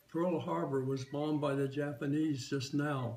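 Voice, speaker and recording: With music in the background, a man with an American accent and a fairly high pitch speaks at a moderate pace and with fairly even intonation. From San Diego, California. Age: 80s+. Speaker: WWII Navy veteran. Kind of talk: oral history interview answer.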